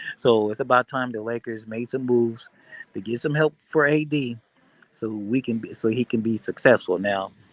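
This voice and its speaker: A man speaks at a moderate pace with a medium pitch and fairly even intonation. The sound is dry and close, with no echo. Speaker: sports livestream host. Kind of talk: casual livestream chat. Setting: airport. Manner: loud.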